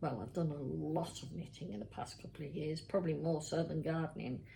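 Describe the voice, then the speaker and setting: Vocal fry colors a woman's very deep, low voice, which has a dark, mellow tone and a moderate pace. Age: 60s. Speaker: knitting vlogger. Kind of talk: casual chat. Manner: chatty, hesitant.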